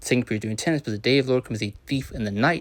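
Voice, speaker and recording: A man races along at a very fast pace, his pitch medium and its variation ordinary. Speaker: religious teacher. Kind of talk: scripture lesson. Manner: hesitant, many fillers.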